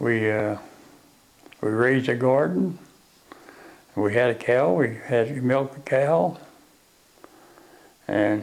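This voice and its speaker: A man speaks at a medium pitch in a West Virginia accent, with ordinary pitch variation. His pace is very slow, with long, frequent pauses. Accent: West Virginia Appalachian. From Arthurdale, West Virginia. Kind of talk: oral history interview answer.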